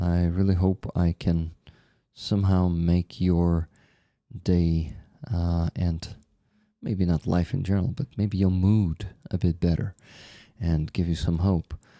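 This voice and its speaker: A soft-spoken man with a very deep, low pitch and a dark, mellow tone talks at a fairly slow pace with long, frequent pauses. The sound is dry and close with no echo, on a very clean recording with a silent background. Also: fairly even intonation. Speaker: livestream host. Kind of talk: casual livestream chat.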